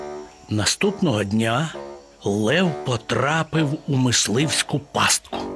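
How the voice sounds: The voice heard here is a natural reading voice.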